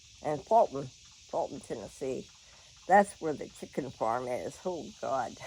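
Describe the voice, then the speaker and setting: A woman with a Southern US accent speaks fairly slowly in a very deep, low pitch, her tone dark and mellow and her intonation lively. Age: 70s. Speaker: vlogger. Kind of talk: casual chat. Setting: at home. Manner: animated.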